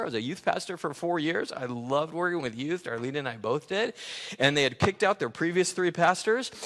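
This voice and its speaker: A man with an American accent, high-pitched, with lively intonation. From Los Angeles, California. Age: 60s. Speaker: pastor. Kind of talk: sermon.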